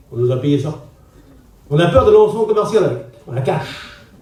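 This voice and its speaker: Speaking at a moderate pace, a man is heard with audible room echo and noticeable background noise. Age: 60s. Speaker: pastor. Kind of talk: sermon. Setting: church gathering with congregation. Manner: conversational, directly addressing audience.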